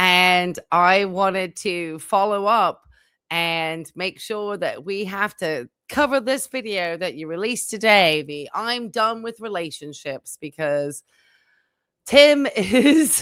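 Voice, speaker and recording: A woman talks very slowly at a medium pitch, her intonation lively and her loudness swinging widely. The recording is very clean, with a silent background. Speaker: psychiatric nurse and commentary streamer. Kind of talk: commentary reaction video, casual talk. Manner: sarcastic, critical.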